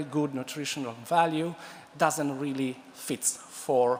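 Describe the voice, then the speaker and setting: A man in a fairly high pitch with an Italian accent. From Italy. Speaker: food science professor. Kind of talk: conference talk. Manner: halting, many fillers and restarts.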